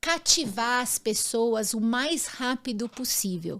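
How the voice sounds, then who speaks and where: A woman speaks very slowly in a high pitch with ordinary pitch variation. The recording is very clean, with a silent background. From grew up abroad in six countries. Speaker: former actress and image consultant. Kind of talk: interview.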